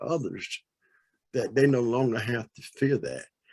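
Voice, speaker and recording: At a moderate pace and medium pitch, a man speaks in an unremarkable speaking voice. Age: 60s. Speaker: audience participant in panel discussion. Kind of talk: panel discussion comment.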